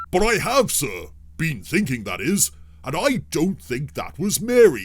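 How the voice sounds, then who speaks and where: Doing a put-on character voice, a man talks. His voice sits fairly high. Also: moderate pace. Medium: audio drama.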